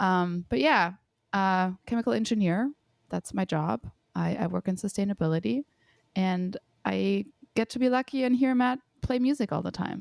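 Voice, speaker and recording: A woman with a slight German accent, very wide pitch swings and long, frequent pauses, on a very clean recording with a silent background and a dry, close sound with no echo. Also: medium pitch for a woman, moderate pace. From Germany. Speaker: chemical engineer. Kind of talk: casual chat.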